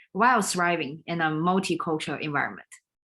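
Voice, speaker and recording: A woman with a Chinese accent talks with fairly even intonation at a fairly low pitch, her tone bright and sharp. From China. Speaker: leadership coach and business consultant. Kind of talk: live stream talk. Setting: livestream video. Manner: halting.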